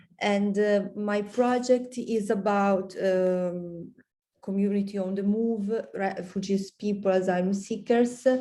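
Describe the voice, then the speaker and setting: In an Italian accent, a woman with a dark, mellow tone speaks very slowly in a monotone, flat intonation, with audible room echo. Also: medium pitch for a woman. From Italy. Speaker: PhD student. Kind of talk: self-introduction. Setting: video call. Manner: halting.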